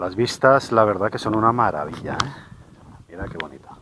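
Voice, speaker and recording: A man is speaking. The sound is dry with no echo, and there's light background noise. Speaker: hiking vlogger. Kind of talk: casual vlog chat. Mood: enthusiastic, admiring. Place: open country. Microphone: phone near.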